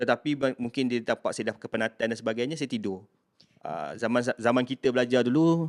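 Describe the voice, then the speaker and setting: At a very fast pace, a man talks in a medium pitch with ordinary variation, the sound dry and close with no echo. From Malaysia, Kuala Kangsar, Perak. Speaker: university staff member. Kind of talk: casual interview, personal story.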